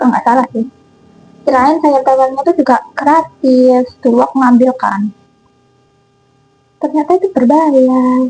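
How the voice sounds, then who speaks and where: A woman with a high pitch and ordinary pitch variation talks at a fairly slow pace, leaving long, frequent pauses. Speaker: cooking vlogger. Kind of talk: casual vlog chat while cooking. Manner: casual, chatty. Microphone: new mic, sounds too quiet.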